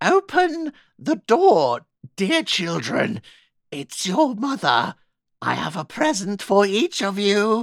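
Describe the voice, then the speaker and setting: Very slow delivery in a fairly high, put-on character voice. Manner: soft, coaxing.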